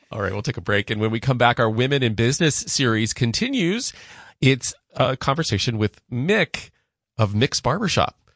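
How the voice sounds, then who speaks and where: At a moderate pace, a man with an unremarkable speaking voice and medium pitch uses lively intonation, recorded dry and close with no echo. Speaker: radio host. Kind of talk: radio host patter, interviewing. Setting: studio. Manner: clear, measured, upbeat.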